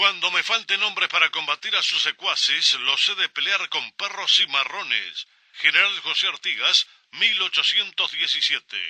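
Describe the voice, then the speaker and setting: A man's voice at a moderate pace, dry and close with no echo. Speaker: radio announcer. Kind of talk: radio station announcement.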